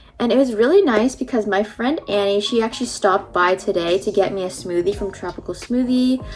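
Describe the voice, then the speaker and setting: A woman talks at a fairly quick pace in an animated tone with ordinary pitch variation and hardly any pauses, music playing in the background. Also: medium pitch for a woman. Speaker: beauty and lifestyle vlogger. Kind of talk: casual vlog storytelling. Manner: chatty, animated.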